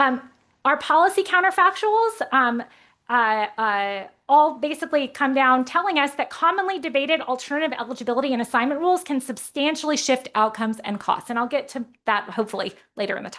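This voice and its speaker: A woman talks at a fairly quick pace in a high, bright, sharp voice with very wide pitch swings over a quiet background. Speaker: economics researcher presenting a paper. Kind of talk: conference presentation. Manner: fast.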